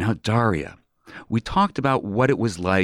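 With lively intonation and a normal speaking voice, a man talks at a fairly slow pace on a very clean recording with a silent background and a dry, close sound with no echo. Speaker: radio host. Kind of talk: radio interview. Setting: community radio studio.

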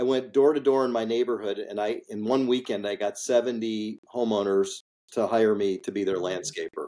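In an American accent, the voice has a dark, mellow tone, fairly even intonation and a moderate pace. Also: man, medium pitch for a man. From US Midwest, Chicago suburbs. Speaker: industrial real estate investor. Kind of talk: interview.

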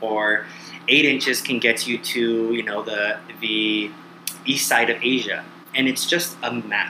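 A man talks at a medium pitch with an American accent. Noticeable background noise runs under his voice. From US California. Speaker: guest, traveler. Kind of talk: casual chat. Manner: energetic, enthusiastic.

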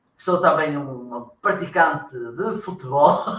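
Amid audible room echo, a man talks at a fairly high pitch with ordinary pitch variation. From northern Portugal, Viana do Castelo. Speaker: marketing consultant and trainer. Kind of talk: casual interview.

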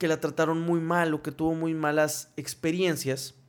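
A fairly high-pitched man's voice at a fairly slow pace. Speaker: podcast co-host. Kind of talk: casual chat.

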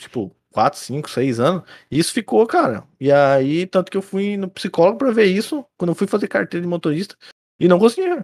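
In a dry, close sound with no echo, a man talks fairly quickly at a high pitch with very wide pitch swings. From Rio Grande do Sul, Brazil. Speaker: podcast co-host. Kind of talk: casual chat. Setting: video call. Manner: animated.

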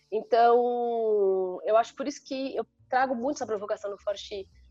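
A woman's voice, fairly high in pitch, carries a dark, mellow tone. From Brazil, São Paulo state interior (Sorocaba). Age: 40s. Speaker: IT executive and women's leadership mentor. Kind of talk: casual interview.

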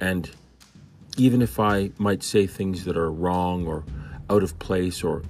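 A man talks fairly slowly, his pitch very deep and low. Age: 50s. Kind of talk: devotional Bible commentary. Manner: conversational.

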